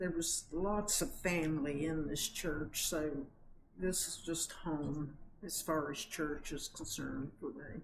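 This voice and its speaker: A woman speaks at a very slow pace with a very deep, low pitch and vocal fry. Her pitch varies in an ordinary way. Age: 70s. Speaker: longtime church member. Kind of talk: interview.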